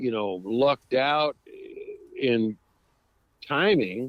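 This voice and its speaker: With an American accent, a man speaks at a medium pitch using lively intonation. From Northern California (Sonoma). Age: 70s. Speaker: western swing musician. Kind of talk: casual interview chat.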